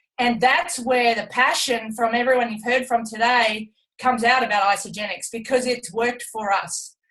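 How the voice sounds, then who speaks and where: Her voice has a bright, sharp tone. The woman speaks with an Australian accent and fairly even intonation. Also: moderate pace. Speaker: retired Olympic athlete. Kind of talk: testimony on a team business call.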